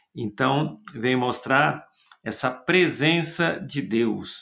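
A man speaks at a medium pitch with lively intonation. Vocal fry shows in his voice. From Brazil, interior of São Paulo state. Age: 50s. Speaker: friar and theologian. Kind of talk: interview.

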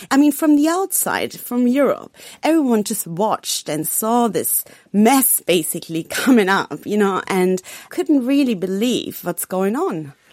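Speaking with a German accent, a woman goes at a fairly slow pace with very wide pitch swings. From Germany. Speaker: foreign correspondent. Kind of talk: radio panel discussion.

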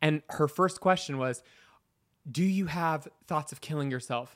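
A man with an unremarkable speaking voice talks at a moderate pace and fairly high pitch, with ordinary pitch variation. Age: 30s. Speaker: makeup artist. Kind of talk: casual chat.

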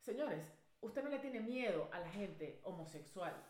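A woman with a Venezuelan accent speaks at a moderate pace, her tone animated and her intonation lively. Audible room echo and noticeable background noise surround her. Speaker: podcast co-host. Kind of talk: casual chat. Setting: studio.

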